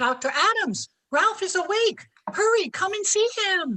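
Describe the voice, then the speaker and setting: A woman's squeaky put-on character voice, extremely high, with very wide pitch swings at a moderate pace. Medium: stage play.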